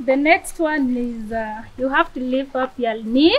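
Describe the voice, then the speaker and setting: A woman with a high pitch and ordinary pitch variation. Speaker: refugee athlete leading exercises. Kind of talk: guided workout. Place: garden. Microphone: phone near.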